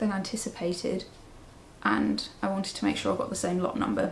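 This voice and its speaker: A woman with a southern English accent at a moderate pace. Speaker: knitting podcaster. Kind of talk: casual vlog chat.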